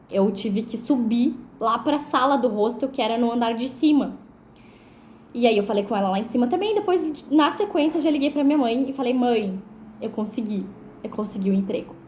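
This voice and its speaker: Amid noticeable background noise and audible room echo, a woman speaks at a moderate pace in a high pitch with ordinary pitch variation. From southern Brazil, Porto Alegre (Rio Grande do Sul). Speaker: vlogger. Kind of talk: personal testimony storytelling. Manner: casual, conversational with many fillers.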